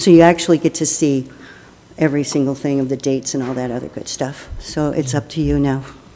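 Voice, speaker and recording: Over noticeable background noise, a woman speaks very fast in a very deep, low pitch with monotone, flat intonation. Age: 70s. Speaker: resident addressing city council. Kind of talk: public comment statement. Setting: city council meeting.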